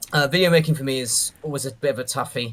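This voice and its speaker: A man's very fast speech with fairly even intonation over noticeable background noise. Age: 30s. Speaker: doom mapper and video creator. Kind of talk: casual chat.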